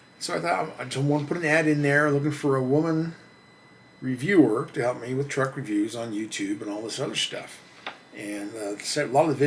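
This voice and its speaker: A man's fairly quick speech, with ordinary pitch variation, comes through audible room echo and noticeable background noise. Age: 60s. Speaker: truck reviewer and channel host. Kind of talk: casual monologue to camera. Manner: halting, repeats words.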